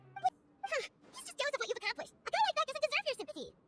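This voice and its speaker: This is a put-on character voice, squeaky and extremely high. It races along at a very fast pace. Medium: video game. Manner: quick, outspoken.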